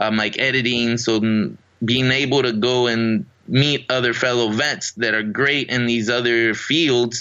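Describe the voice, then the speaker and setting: An ordinary speaking voice with hardly any pauses, very even loudness and fairly even intonation. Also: man, medium pitch for a man, fairly slow pace. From Riverside, California, born in Mexico. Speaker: Army veteran and actor. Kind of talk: casual interview.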